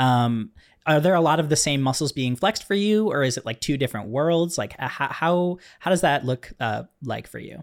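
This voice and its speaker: A man with an ordinary speaking voice, fairly high in pitch and lively in intonation, on a very clean recording with a silent background. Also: moderate pace. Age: 20s. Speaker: podcast host and filmmaker. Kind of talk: casual chat.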